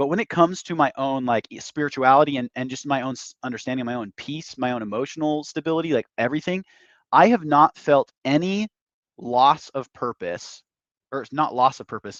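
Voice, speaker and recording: This speaker, with an American accent, talks at a fairly quick pace with ordinary pitch variation and big swings in loudness. The sound is dry and close with no echo, against a quiet background. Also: man, fairly high pitch for a man. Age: 20s. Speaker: podcast host. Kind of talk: interview. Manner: halting, many fillers and restarts.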